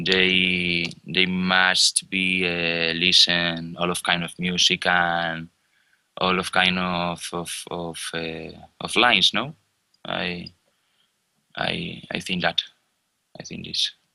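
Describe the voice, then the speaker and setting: The delivery is very slow and monotone, with flat intonation and long, frequent pauses. The tone is bright and sharp, and the recording is very clean with a silent background. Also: man, very deep, low pitch for a man. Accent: Spanish. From Spain, Galicia (Ourense, A Coruña). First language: Spanish. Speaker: musician and producer. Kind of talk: interview. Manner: halting.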